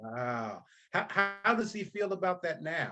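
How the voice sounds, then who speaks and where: A man's voice with very wide pitch swings over music in the background. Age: 60s. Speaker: author and speaker on fatherhood.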